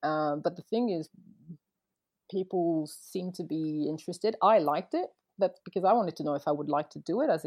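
With a slight French accent, a woman speaks at a fairly low pitch. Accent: light French accent in English. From France, Paris and Montpellier, early childhood near Boston. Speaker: wedding photographer, former lawyer. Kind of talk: casual interview. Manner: hesitant, many false starts; laughs often.

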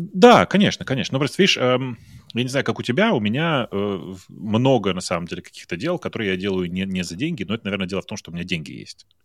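Very fast and with lively intonation, a man speaks in a dry, close sound with no echo. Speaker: tech podcaster. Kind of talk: casual chat.

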